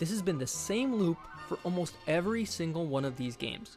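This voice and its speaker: Music plays in the background as a man speaks at a fairly quick pace with lively intonation. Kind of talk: video essay narration.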